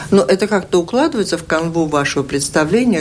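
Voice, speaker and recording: Noticeable background noise sits behind the recording. A woman talks at a fairly quick pace. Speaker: radio host. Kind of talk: radio interview. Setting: studio.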